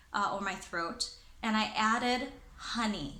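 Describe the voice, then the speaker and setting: A woman speaks at a fairly high pitch. Noticeable background noise is audible. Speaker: corporate trainer and presenter. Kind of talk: casual talk to camera.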